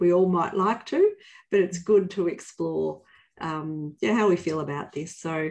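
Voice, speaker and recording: A woman with a plain, everyday voice speaks at a fairly slow pace. Her pitch is fairly low, with ordinary pitch variation. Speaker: company leader hosting a webinar. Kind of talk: webinar hosting talk. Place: office. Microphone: video call.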